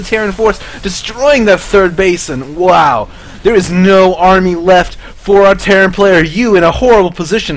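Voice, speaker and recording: The speech has ordinary pitch variation and a moderate pace. Noticeable background noise runs underneath. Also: man. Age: 20s. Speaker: esports caster. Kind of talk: live commentary. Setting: live stream. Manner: animated.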